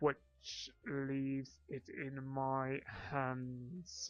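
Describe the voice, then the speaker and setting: A man puts on a character voice at a medium pitch, delivering it in a flat, monotone way. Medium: solo performance. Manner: cold, cutting, condescending.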